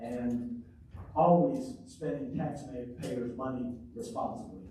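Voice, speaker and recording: Lively intonation marks this man's speech, heard with audible room echo and noticeable background noise. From Arkansas (Pine Bluff). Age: 60s. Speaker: mayoral candidate, city councilor. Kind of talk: candidate forum statement.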